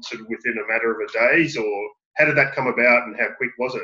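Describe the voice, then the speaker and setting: A man's medium-pitched voice over faint music in the background. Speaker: student. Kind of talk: class discussion question. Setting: video call. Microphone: video call.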